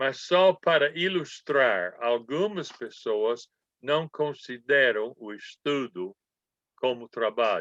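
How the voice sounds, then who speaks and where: With a bright, sharp tone and lively intonation, a man speaks at a very slow pace and a fairly high pitch. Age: 80s+. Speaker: Bible school professor. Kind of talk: lecture.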